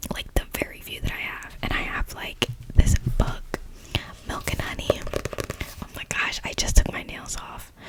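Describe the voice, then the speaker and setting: A whisper at a moderate pace, with big swings in loudness, long, frequent pauses, and noticeable background noise. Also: woman. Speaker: ASMR creator. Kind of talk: casual talk to camera. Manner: whispered.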